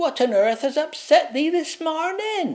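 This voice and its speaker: A man puts on a character voice at an extremely high pitch and delivers it at a fairly slow pace. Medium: read story. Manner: quaint, dialect forms.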